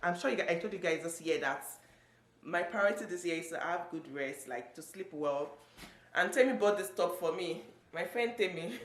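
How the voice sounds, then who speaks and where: A woman's fairly low-pitched voice with lively intonation, audible room echo and noticeable background noise. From Nigeria. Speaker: vlogger. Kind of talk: casual vlog talk to camera. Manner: fast.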